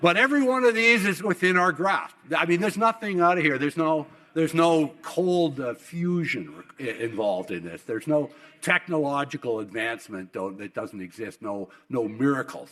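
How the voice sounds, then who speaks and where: With a western Canadian accent, a man speaks in very wide pitch swings. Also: fairly high pitch for a man. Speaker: oil industry executive and keynote speaker. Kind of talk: keynote speech. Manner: halting with many repetitions; fast.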